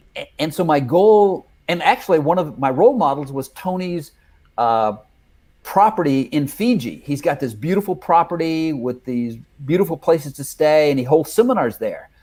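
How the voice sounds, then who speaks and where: This man has an unremarkable speaking voice, pitched fairly high, with lively intonation and a moderate pace. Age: 60s. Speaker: life coach trainer and consultant. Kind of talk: casual chat.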